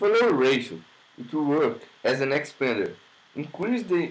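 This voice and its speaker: A man with a Brazilian accent, fairly high pitch, lively intonation and a moderate pace. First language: Portuguese. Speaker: music production student. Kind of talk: tutorial. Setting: home studio. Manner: halting. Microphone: laptop recording.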